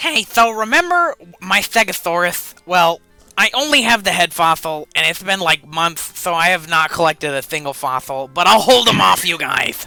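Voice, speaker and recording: Over faint background music, a man uses a raspy, high-pitched put-on character voice at a moderate pace. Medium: game stream.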